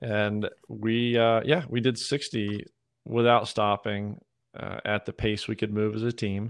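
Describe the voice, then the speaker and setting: In a plain, everyday voice, a man with an American accent talks at a fairly slow pace with fairly even intonation. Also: fairly low pitch for a man. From US South, Georgia. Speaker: podcast host and obstacle racer. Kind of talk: interview conversation.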